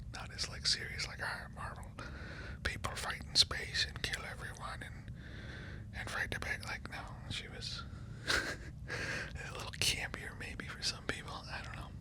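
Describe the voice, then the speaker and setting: Noticeable background noise surrounds a man whispering at a fairly slow pace. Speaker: ASMR creator. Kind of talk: ASMR whisper ramble. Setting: in bed, close mic. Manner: whispered.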